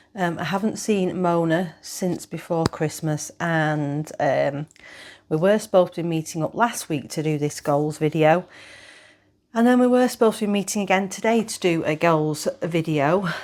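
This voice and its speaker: In a British accent, a woman speaks at a moderate pace with a fairly low pitch and ordinary pitch variation. The recording is very clean, with a silent background. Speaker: knitting vlogger. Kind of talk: casual chat. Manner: hesitant, many fillers.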